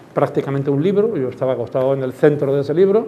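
A man's fairly high voice at a very fast pace, with ordinary pitch variation, audible room echo and noticeable background noise. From Andalusia, Málaga. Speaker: terrorism victim and former Civil Guard officer. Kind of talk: testimony. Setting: school classroom talk. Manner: halting.

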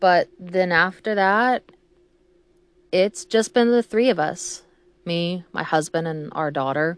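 A woman speaks with a Texan accent. She goes at a very slow pace with long, frequent pauses. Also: medium pitch for a woman, ordinary pitch variation. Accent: Texan Southern US. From Texas, small country towns. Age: 30s. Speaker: podcaster, mother. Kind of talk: casual monologue. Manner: rambling, hesitant with many ums.

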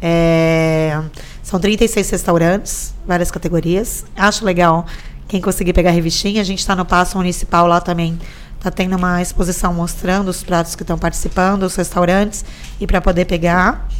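A woman speaks at a moderate pace with a fairly low pitch. Her intonation is monotone and flat. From Brazil, São Vicente (São Paulo coast). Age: 40s. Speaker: tourism department official. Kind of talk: casual interview chat.

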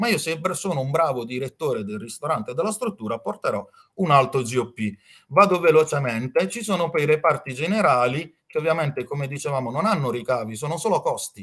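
This man has a plain, everyday voice, fairly high in pitch, with lively intonation and a fairly quick pace. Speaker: hotel finance consultant. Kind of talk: slide presentation, lecture.

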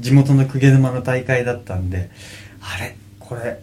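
With a dark, mellow tone and a somewhat breathy quality, a man talks at a medium pitch with lively intonation. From Kanagawa, Japan (Kugenuma, Fujisawa). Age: 30s. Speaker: professional surfer. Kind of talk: interview. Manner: casual.

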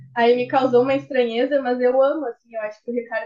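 Here a woman speaks with a high pitch. She keeps a moderate pace. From Rio Grande, Rio Grande do Sul, Brazil. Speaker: guest, true-crime fan. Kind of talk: casual chat.

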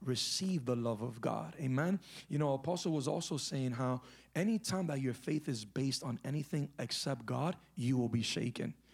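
In a very clean recording with a silent background, a man with a somewhat breathy, fairly high voice speaks at a moderate pace with lively intonation. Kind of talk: fervent charismatic prayer, leading the congregation in declaration and repentance. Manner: impassioned, urgent, exhortative, with rising intensity.

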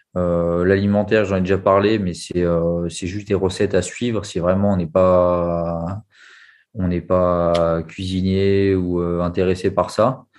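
A man's very deep, low voice, very slow and monotone, with flat intonation. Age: 30s. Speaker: restaurant waiter, coaching client. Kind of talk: testimony interview. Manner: halting.

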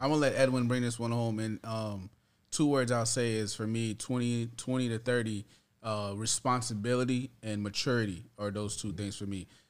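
In a very clean recording with a silent background, a man with a plain, everyday voice speaks at a moderate pace with fairly even intonation. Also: medium pitch for a man. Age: 30s. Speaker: father. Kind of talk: casual chat.

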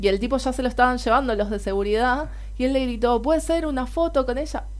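In a Rioplatense accent, a woman talks at a fairly high pitch with ordinary pitch variation. Audible room echo surrounds her voice. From Argentina. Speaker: podcast co-host. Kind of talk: casual chat.

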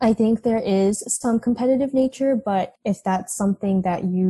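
A woman with a dark, mellow, somewhat breathy tone speaks at a moderate pace with ordinary pitch variation, in a dry, close sound with no echo. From Texas. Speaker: college student. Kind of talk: casual interview. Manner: hesitant, many ums.

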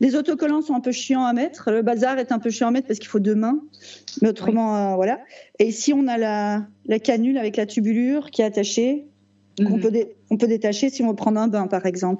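A woman talks fairly quickly with a fairly high pitch that varies in an ordinary way. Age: 40s. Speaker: type 1 diabetic patient. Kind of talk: casual interview. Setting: video call. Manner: halting.

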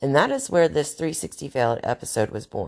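This woman speaks in a Southern US accent. Vocal fry runs through her voice. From US South, North Carolina. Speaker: podcast host. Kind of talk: monologue.

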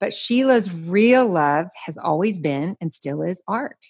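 A woman talks with a Southern US accent and lively intonation. The background stays quiet. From US South. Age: 50s. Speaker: podcast host. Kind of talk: casual interview.

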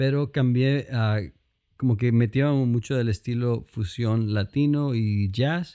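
Very slowly, a man speaks at a medium pitch with ordinary pitch variation. His tone is dark and mellow. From Colombia, Cali. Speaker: pianist, producer and pastor. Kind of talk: casual interview.

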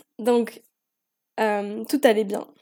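At a very slow pace, a woman speaks with a fairly high pitch and a dark, mellow tone. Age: 20s. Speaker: podcast host. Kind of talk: personal monologue. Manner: talkative.

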